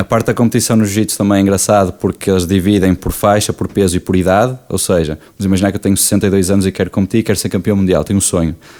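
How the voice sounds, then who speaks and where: A man's fairly low voice at a very fast pace, hardly any pauses, very even loudness and fairly even intonation. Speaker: jiu-jitsu athlete and coach. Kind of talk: podcast interview.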